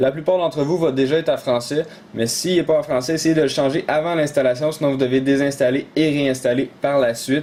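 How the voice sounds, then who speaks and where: Speaking at a fairly quick pace, a man keeps a fairly high pitch and fairly even intonation. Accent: Quebec. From Quebec. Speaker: tech tutorial YouTuber. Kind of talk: tutorial. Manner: hesitant, many fillers.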